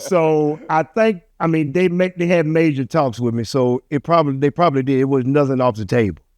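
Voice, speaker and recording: With a plain, everyday voice, a man speaks at a moderate pace and a fairly high pitch, showing ordinary pitch variation, in a dry, close sound with no echo. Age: 60s. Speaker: fatherhood mentor. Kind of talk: casual interview chat.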